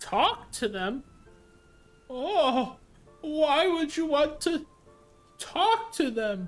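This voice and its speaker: A man does a put-on character voice at a very slow pace, leaving long, frequent pauses. Faint music plays in the background. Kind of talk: old sailor dialect. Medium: actual play. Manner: rambling, gruff.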